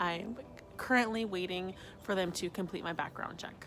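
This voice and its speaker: A woman with an American accent speaks at medium pitch and a moderate pace, with ordinary pitch variation. Noticeable background noise runs underneath. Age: 20s. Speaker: dietetic internship applicant. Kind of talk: video application interview.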